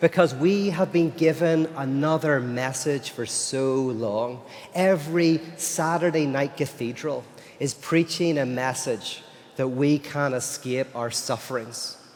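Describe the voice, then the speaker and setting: A man with an Irish accent, a fairly high pitch, ordinary pitch variation and a fairly slow pace, over noticeable background noise. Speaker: philosopher and speaker. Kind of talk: lecture. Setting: stage with audience at a festival.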